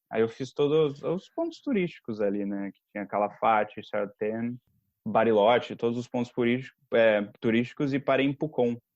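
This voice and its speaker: A man with an ordinary speaking voice talks at a moderate pace and medium pitch, his pitch varying in an ordinary way. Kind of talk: podcast conversation. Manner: casual, storytelling.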